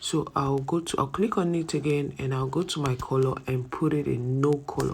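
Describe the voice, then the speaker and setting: The speaker is soft-spoken. The pace is moderate. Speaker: ebook design instructor. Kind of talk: tutorial. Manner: conversational, rhetorical questions.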